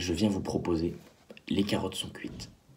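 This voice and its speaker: There's audible echo in the room. The man's speech moves at a fairly quick pace. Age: 20s. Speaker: drama student and actor. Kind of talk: video pitch for production meeting. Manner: halting, repeats words.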